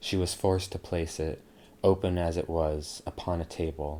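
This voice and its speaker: A man's very deep, low voice at a fairly slow pace, with fairly even intonation. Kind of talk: ASMR sleep story reading. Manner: soft-spoken, relaxing.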